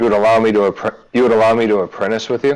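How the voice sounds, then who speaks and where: A man puts on a character voice, speaking at a moderate pace and medium pitch with monotone, flat intonation. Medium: actual play. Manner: blunt, folksy, drops grammar.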